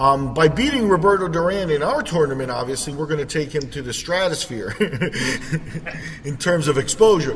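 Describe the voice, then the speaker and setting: A man at a moderate pace with ordinary pitch variation, amid noticeable background noise and audible room echo. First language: Spanish. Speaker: podcast host. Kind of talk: casual chat. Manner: halting, many fillers.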